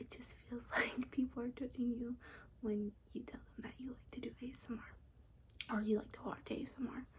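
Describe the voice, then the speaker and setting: Whispering and soft-spoken, a woman talks at a moderate pace with big swings in loudness. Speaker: ASMR content creator. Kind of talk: ASMR whisper ramble to camera. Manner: soft-spoken, whispered.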